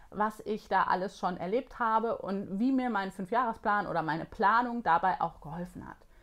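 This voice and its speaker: A woman with a normal speaking voice talks at a moderate pace in a fairly high pitch, with ordinary pitch variation over a quiet background. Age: 40s. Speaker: productivity coach and online course creator. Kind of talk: vlog-style tutorial.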